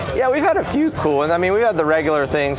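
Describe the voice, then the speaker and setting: A man with a Southern US accent and ordinary pitch variation, amid noticeable background noise and audible room echo. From US South. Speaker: startup founder and CEO. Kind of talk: interview. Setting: conference.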